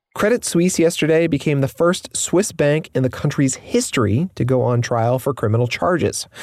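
This man has an ordinary speaking voice, fairly high in pitch, delivered at a moderate pace with lively intonation, very even loudness and hardly any pauses. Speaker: news podcast host. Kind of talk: news reading.

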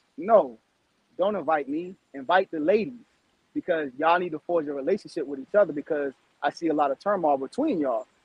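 His pitch shows ordinary variation. The man speaks at a fairly quick pace. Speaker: reality show contestant. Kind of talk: casual chat. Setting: video call.

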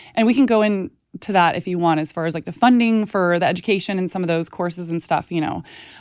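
In a very clean recording with a silent background, a woman with an American accent speaks at a fairly quick pace in an unremarkable speaking voice, her pitch medium and its variation ordinary. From Texas. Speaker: nutritionist and food activist. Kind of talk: casual interview chat.

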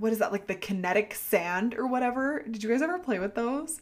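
A woman with an American accent speaks in an animated tone at a moderate pace, her fairly high voice swinging very widely in pitch. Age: 20s. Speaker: podcast host. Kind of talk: casual solo podcast chat.

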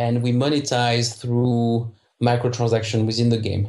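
The speaker has a French accent and a somewhat breathy voice. The pace is fairly slow. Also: man. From France, southern suburbs of Paris. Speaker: video game entrepreneur. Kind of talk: interview. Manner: halting, many repetitions.

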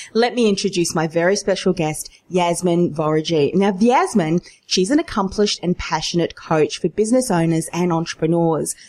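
Keeping very even loudness, a woman with a plain, everyday voice speaks at a moderate pace and a fairly low pitch with ordinary pitch variation. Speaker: podcast host. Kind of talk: interview, business podcast.

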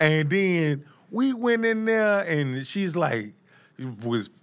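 The voice is raised and projected, with lively intonation and a bright, sharp tone. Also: man. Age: 40s. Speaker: podcast host. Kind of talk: casual interview chat. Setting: studio. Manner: animated.

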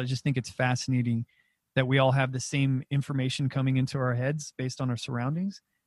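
A man speaks at a very fast pace in a medium-pitched, somewhat breathy voice. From New Mexico. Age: 30s. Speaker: comedian and podcast host. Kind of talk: casual chat. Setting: video call.

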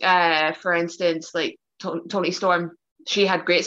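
A woman speaks in a Northern Irish accent at a fairly low pitch. Her tone is bright and sharp. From Northern Ireland, Belfast. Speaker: professional wrestler. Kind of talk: casual chat. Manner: talkative.

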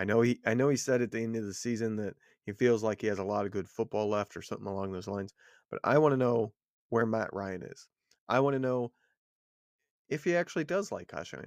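A man talks at a very fast pace yet leaves long, frequent pauses. The background is quiet. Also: medium pitch for a man, ordinary pitch variation. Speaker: podcast co-host, football analyst. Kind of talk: casual sports chat. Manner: low-key, laid back.

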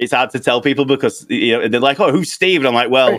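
A man with a British accent talks at a medium pitch with ordinary pitch variation. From United Kingdom. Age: 30s. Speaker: video game streamer. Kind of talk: casual chat.

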